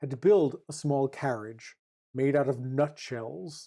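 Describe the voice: In a very clean recording with a silent background, a woman speaks at a fairly slow pace with an extremely low pitch and a dark, mellow tone.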